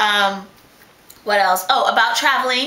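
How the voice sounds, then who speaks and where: A woman speaks with fairly high pitch and fairly even intonation. Audible room echo surrounds her voice. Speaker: vlogger with sickle cell disease. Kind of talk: casual video blog. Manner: fast.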